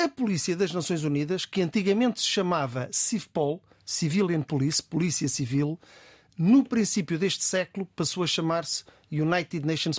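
In a dry, close sound with no echo and a very clean recording with a silent background, a man with a fairly high voice and ordinary pitch variation speaks in a plain, everyday voice. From Azores, with parents from Beira Baixa, some childhood in Cape Verde. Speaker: senior police commander. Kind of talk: radio interview. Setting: studio.

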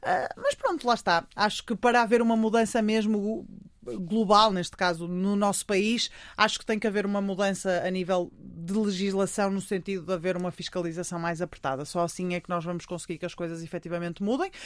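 A woman speaks at a fairly quick pace with a medium pitch and ordinary pitch variation. The recording is very clean and the background silent. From Portugal, Porto. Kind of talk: radio interview. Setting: studio. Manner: loud.

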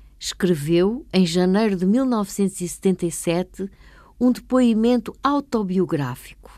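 A dark, mellow tone at a very slow pace with lively intonation. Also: woman, medium pitch for a woman.

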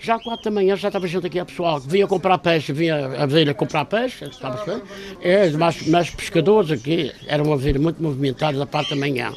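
A man with a fairly high voice talks fairly quickly, with hardly any pauses. His pitch varies in an ordinary way, and background noise is noticeable. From Madeira, Câmara de Lobos. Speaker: barber. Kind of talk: casual interview.

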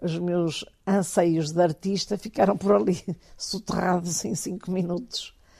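At a fairly slow pace, a woman speaks at medium pitch with ordinary pitch variation and a dark, mellow tone over a quiet background. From Portugal, Porto. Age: 70s. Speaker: kite collector. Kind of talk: interview testimony.

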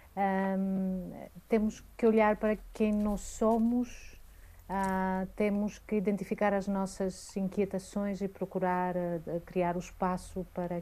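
A woman talks at a very slow pace with a medium pitch and a dark, mellow tone. Her intonation is monotone and flat, and the recording is very clean with a silent background. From Greece. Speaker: cultural curator and programmer. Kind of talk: radio interview. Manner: hesitant, with fillers.

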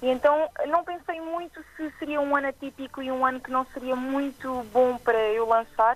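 Speaking with an Azorean accent, a woman uses a high pitch and fairly even intonation in a dry, close sound with no echo. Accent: noticeable regional accent, Azorean. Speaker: singer-songwriter. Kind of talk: interview.

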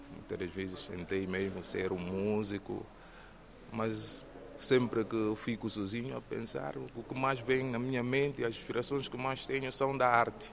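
This man has an ordinary speaking voice, medium in pitch with ordinary pitch variation, and talks at a fairly slow pace. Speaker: theatre trainee and police officer. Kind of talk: interview.

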